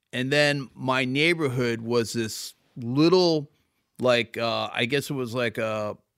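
A man talks at a medium pitch, varying it in an ordinary way, on a very clean recording with a silent background. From Philadelphia suburbs, Pennsylvania. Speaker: record label founder. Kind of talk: interview. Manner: halting.

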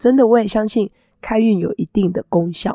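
A woman speaks with music playing in the background. The sound is dry and close, with no echo. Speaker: astrology teacher and podcast host. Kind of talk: casual talk-style monologue.

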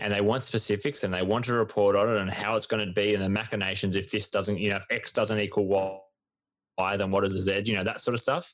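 Very fast, monotone, flat speech from a man with an Australian accent and a fairly low pitch, on a very clean recording with a silent background. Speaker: sports podcast co-host. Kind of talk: casual chat.

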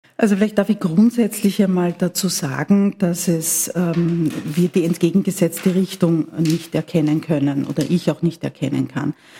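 A woman talks with hardly any pauses in a fairly low voice. Background noise is noticeable. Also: fairly even intonation, moderate pace. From Austria, Vienna. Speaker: politician, party secretary. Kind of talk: interview. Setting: party headquarters office, mobile studio. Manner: formal.

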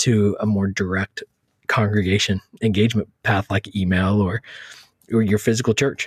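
A plain, everyday voice with an American accent, a man's fairly low pitch in fairly even intonation. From Texas. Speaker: church social media author. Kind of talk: interview.

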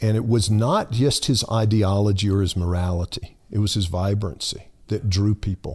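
A man with an American accent speaks at a moderate pace, his fairly low voice somewhat breathy, with hardly any pauses. His loudness stays very even and his intonation fairly even. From US South, lower Alabama (Monroeville). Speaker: pastor. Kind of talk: casual chat. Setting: studio.

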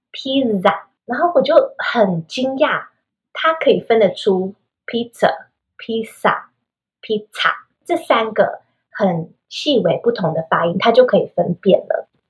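A woman with a high voice talks at a fairly slow pace, her pitch swinging very widely. She leaves long, frequent pauses. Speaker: children's English teacher and podcaster. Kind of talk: interview.

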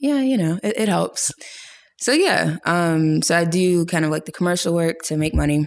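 In an American accent, a woman with a fairly low pitch speaks at a moderate pace with very even loudness and ordinary pitch variation, an ordinary speaking voice. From US, Pittsburgh, Pennsylvania. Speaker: photographer and filmmaker. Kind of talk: casual interview.

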